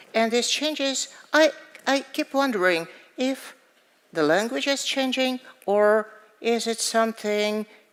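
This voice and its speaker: A woman with a Russian accent, at a fairly slow pace. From Russia, Moscow. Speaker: poet and author. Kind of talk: interview on stage. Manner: halting.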